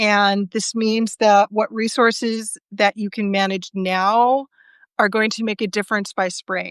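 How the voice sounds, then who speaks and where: A woman with an American accent speaks in an ordinary speaking voice at a medium pitch, at a fairly slow pace with fairly even intonation, in a dry, close sound with no echo. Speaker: tarot reader. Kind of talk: tarot reading livestream.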